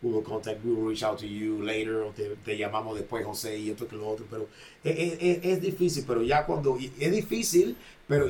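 In a Spanish accent, a man talks very fast with lively intonation. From Panama. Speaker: boxing trainer and gym owner. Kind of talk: casual podcast conversation.

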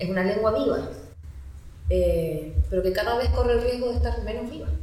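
Noticeable background noise and audible room echo surround a woman speaking at a fairly quick pace with a Chilean accent. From mainland Chile. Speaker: school psychologist. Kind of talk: interview testimony.

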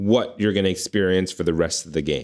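A man's very deep, low voice moves at a moderate speed with ordinary pitch variation. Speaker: podcast co-host. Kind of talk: casual chat.

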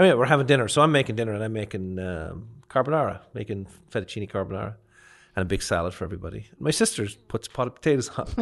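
Someone with a Leinster accent talks at a very fast pace over a quiet background. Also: man, fairly low pitch for a man, lively intonation. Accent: Irish (Leinster). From Ireland, County Kildare near Dublin. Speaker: chef and restaurant owner. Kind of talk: casual interview chat. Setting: studio.

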